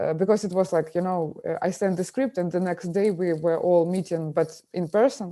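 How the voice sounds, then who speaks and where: A woman with a Ukrainian accent, dark and mellow in tone, medium pitch, ordinary pitch variation, and a moderate pace, in a very clean recording with a silent background. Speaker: film director. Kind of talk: interview. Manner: halting, many fillers.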